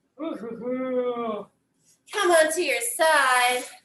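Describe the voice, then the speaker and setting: Very slow speech from a woman, set in audible room echo. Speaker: pilates instructor. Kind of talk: guided workout instruction. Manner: animated.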